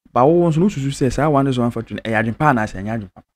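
A man talks at a medium pitch. The recording is very clean and the background silent.

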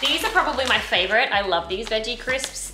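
Light background noise sits behind a woman whose intonation is lively. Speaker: vlogger. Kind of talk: casual vlog chat. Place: kitchen. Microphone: phone near.

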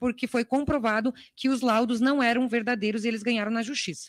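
At a very fast pace, a woman speaks in a high, monotone, flat voice, with a dry sound with no echo and a quiet background. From Brazil. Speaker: congresswoman; legislator questioning a minister. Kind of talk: parliamentary questioning. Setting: parliamentary committee room. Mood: firm, critical. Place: hall. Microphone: podium.

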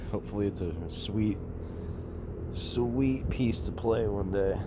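Over loud background noise, a man speaks with ordinary pitch variation. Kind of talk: casual show-and-tell vlog. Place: boat. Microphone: phone near.

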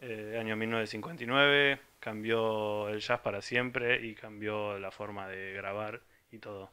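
A man talks at a very slow pace with fairly low pitch. His intonation stays fairly even. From Argentina, small town in the interior. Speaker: music site contributor; presenter. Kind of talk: casual record presentation. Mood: humorous, relaxed. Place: home room. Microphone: handheld.

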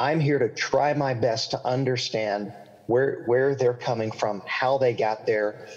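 Against a quiet background, a man with a slight Southern accent talks at a medium pitch and a fairly slow pace. His intonation is fairly even and his loudness very even. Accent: slight Southern, milder than local drawl. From US South, central Florida. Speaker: pastor and author. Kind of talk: interview. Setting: video call. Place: home room. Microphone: video call.

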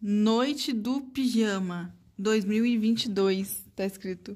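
A woman speaks in an animated tone, her voice somewhat breathy. The background is quiet. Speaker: family vlogger, mother; mother vlogger. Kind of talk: casual vlog talk to camera; casual vlog chat. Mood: warm, playful. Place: home room. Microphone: phone near.

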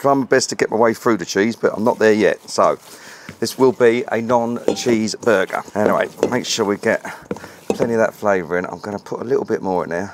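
A man with a British accent speaks at a fairly quick pace over noticeable background noise, the sound dry with no echo. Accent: English (UK), informal. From England. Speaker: BBQ cooking channel host. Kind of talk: casual cooking tutorial. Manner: fast. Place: garden.

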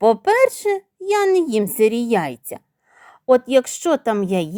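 The background stays quiet. Over it, the text is read aloud in a natural voice.

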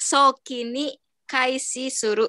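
Against a quiet background, a woman speaks in a high pitch with a bright, sharp tone and fairly even intonation. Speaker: caregiver trainee; teacher or study leader. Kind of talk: reading aloud. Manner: halting. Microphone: video call.

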